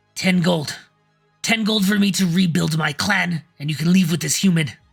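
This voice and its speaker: Putting on a character voice, a man speaks high-pitched and raspy at a moderate pace, with faint music in the background. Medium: actual play. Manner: calculating, haggling.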